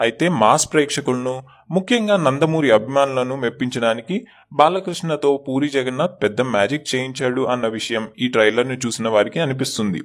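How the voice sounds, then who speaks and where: A man with a plain, everyday voice speaks at medium pitch with ordinary pitch variation, in a very clean recording with a silent background. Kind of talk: entertainment news narration.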